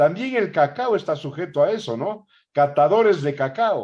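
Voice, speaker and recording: A man with a plain, everyday voice, lively intonation and a fairly slow pace against a quiet background. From Ecuador. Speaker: interviewer host. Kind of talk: interview conversation.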